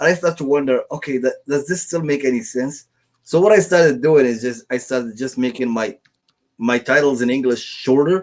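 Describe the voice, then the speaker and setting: A man speaks fairly quickly with a non-native accent. His medium pitch shows ordinary variation. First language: not English. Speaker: online print-on-demand seller. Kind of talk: casual interview chat. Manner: hesitant, many fillers.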